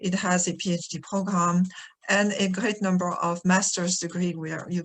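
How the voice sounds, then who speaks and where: Speaking at a moderate pace, a woman talks in a French accent. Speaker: retired professor, architectural historian. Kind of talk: webinar presentation. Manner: hesitant, many fillers.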